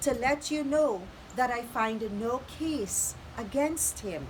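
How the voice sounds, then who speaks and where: A woman talks at a high pitch and a very slow pace. Noticeable background noise sits behind her. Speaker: preacher. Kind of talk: scripture reading.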